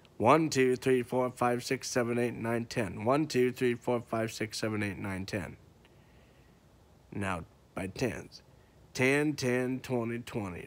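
A man speaks very slowly, with long, frequent pauses. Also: ordinary pitch variation. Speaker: auctioneer. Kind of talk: auctioneer tutorial to camera, casual. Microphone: phone near.

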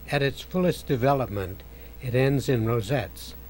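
A man's calm, medium-pitched voice with vocal fry, at a fairly slow pace. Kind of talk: nature documentary narration. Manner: calm, measured, hushed and reverent, like a wildlife documentary narrator.

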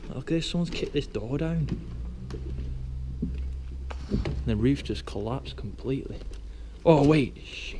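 Noticeable noise sits behind the man as he talks. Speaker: urban explorer vlogger. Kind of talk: casual vlog chat. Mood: excited, slightly nervous. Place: church. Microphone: phone near.

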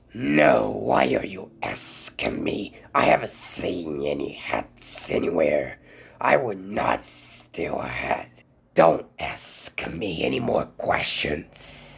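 A man speaks very slowly in a very deep, low pitch. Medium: fan dub. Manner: defensive, evasive.

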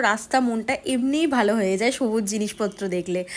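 A woman speaks over noticeable background noise. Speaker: vlogger. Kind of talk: casual vlog narration. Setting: outdoors, rooftop and on an outing.

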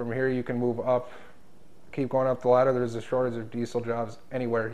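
A man with an Upper Midwest accent, very fast and flat in a monotone. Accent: Upper Midwest American. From North Dakota, rural. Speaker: diesel mechanic. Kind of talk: interview answers; interview answer. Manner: halting, filler-heavy. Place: meeting room. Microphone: lapel.

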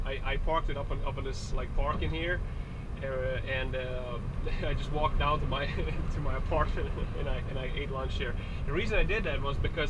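Loud background noise surrounds the recording. A man speaks at a fairly quick pace. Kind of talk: casual vlog chat. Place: car. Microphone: camera far.

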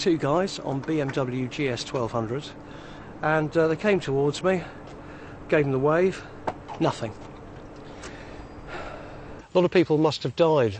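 Noticeable background noise, a dry sound with no echo, and a fairly slow pace. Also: man. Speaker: TV presenter. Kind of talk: travel show presenting. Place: open country. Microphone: lapel.

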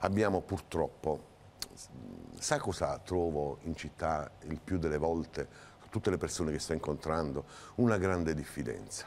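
Through light background noise, a man with a very deep, low voice and vocal fry talks at a fairly slow pace, with ordinary pitch variation and long, frequent pauses. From southern Italy. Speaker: mayoral candidate. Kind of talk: TV interview. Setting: TV studio. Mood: earnest political argument. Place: studio. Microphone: lapel.

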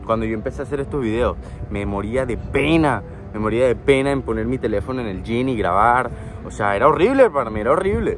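Faint music plays behind a man who speaks at a very fast pace with ordinary pitch variation, in a dry sound with no echo. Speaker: fitness vlogger. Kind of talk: motivational vlog talk. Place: waterside. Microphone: phone near.

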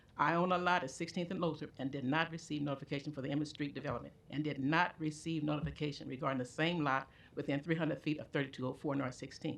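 A woman talks at a very fast pace with a very deep, low pitch. Her pitch varies in an ordinary way over a quiet background. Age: 80s+. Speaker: neighborhood resident at public hearing. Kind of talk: reading aloud. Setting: public meeting. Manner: halting.

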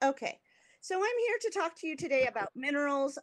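A woman with an American accent, a high pitch and very wide pitch swings, against a quiet background. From US West Coast, California. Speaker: art historian; guest lecturer. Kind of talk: lecture. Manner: slow; hesitant, many fillers. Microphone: video call.

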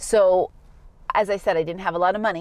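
A woman talks with an American accent and ordinary pitch variation in a dry sound with no echo. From Massachusetts, USA. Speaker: English teacher. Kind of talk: personal story told to camera for learners. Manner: slow, clear. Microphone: phone near.

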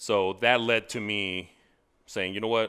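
A man's bright, sharp tone at a moderate pace against a quiet background. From Texas, El Paso. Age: 40s. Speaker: accountability coach. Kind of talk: casual interview. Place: studio. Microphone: headset.

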